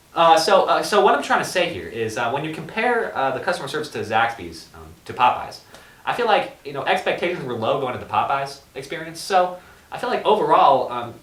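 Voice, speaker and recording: Amid noticeable background noise and audible room echo, a man talks at a fairly quick pace with fairly high pitch, very wide pitch swings and big shifts in loudness. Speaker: podcast co-host. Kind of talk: casual chat. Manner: fast.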